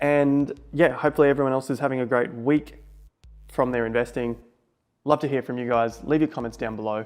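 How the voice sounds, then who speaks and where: Music sits in the background behind a man with an Australian accent. He talks at a fairly quick pace with fairly even intonation. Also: medium pitch for a man. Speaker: investment vlogger. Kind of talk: casual vlog monologue.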